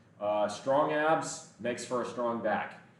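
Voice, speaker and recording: In an animated tone, a man speaks amid noticeable background noise and audible room echo. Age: 20s. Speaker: fitness streamer. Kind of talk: live stream chat while working out. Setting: gym.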